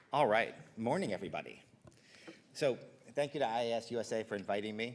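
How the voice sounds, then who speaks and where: Talking at a very fast pace, a man keeps a medium pitch with ordinary pitch variation. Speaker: infectious disease physician. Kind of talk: lecture.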